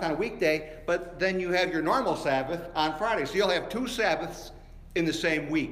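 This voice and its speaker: A man with a high pitch talks at a fairly quick pace against noticeable background noise. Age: 60s. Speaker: pastor. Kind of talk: sermon. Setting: church. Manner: animated.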